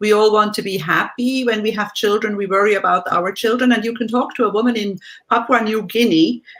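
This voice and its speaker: Fairly quick speech in a German accent, the intonation fairly even. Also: woman, fairly high pitch for a woman. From Switzerland. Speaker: life coach and former tour guide. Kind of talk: interview.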